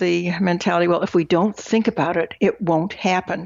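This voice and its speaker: With vocal fry, a woman at a medium pitch speaks at a moderate pace. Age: 70s. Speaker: financial planner and author on widowhood. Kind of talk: interview.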